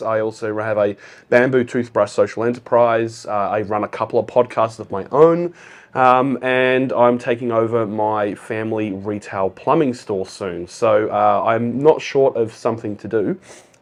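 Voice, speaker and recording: A man with an Australian accent, ordinary pitch variation, and a quiet background. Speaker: accountant and business founder. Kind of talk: casual interview chat.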